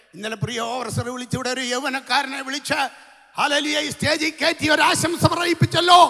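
A man speaks at an extremely high pitch with ordinary pitch variation. His voice is raised and projected, with an animated tone. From Kerala, India. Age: 60s. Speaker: pastor. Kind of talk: sermon. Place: tent. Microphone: handheld.

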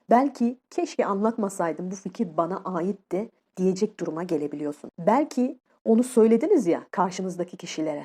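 A woman's dark, mellow voice at a moderate pace, with very wide pitch swings. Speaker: YouTuber and life coach. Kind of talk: solo vlog tutorial. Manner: casual, conversational.

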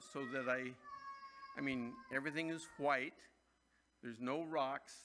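A man speaks while light background noise hums underneath. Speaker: pastor. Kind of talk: sermon. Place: church. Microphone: podium.

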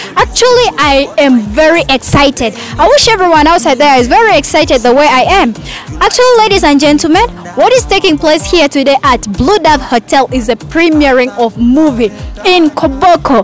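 At a moderate pace, a woman speaks in a high pitch, the sound dry with no echo and faint music in the background. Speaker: TV presenter. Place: street. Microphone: handheld.

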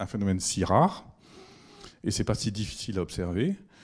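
This man's pace is moderate. Behind him, all is quiet. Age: 60s. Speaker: physics professor; lecturer. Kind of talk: public lecture. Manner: halting, many hesitations. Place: hall. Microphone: handheld.

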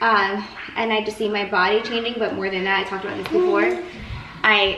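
In a room with audible echo and light background noise, a woman speaks at a moderate pace. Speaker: home cooking vlogger. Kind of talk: casual vlog chat. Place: kitchen.

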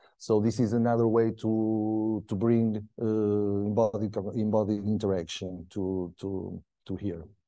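Against a quiet background, a man speaks at a fairly slow pace with hardly any pauses, his fairly low voice dark and mellow in tone and flat and monotone in intonation. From Portugal. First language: Portuguese. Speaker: PhD researcher; presenter. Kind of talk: lecture. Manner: halting. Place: classroom.

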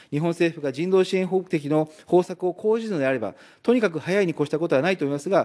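Speaking at a very fast pace, a man with a fairly high pitch, a dark, mellow tone and lively intonation is heard in a very clean recording with a silent background. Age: 40s. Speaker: member of parliament. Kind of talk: parliamentary questioning.

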